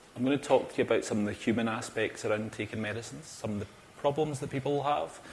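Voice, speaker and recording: A man with a Glaswegian accent speaks very fast at a medium pitch, somewhat breathy, with ordinary pitch variation. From Scotland, Glasgow. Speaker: cardiac pharmacist. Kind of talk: conference talk. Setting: stage with audience. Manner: animated.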